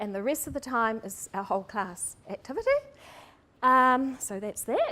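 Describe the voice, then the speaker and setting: A woman with a New Zealand accent, a bright, sharp tone and a moderate pace. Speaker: primary school teacher. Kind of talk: seminar presentation. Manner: hesitant, many ums.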